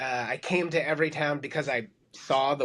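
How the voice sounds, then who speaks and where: Here a man speaks in an American accent at a moderate pace. His pitch is fairly high. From New York. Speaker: gun violence prevention policy executive. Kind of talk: podcast interview.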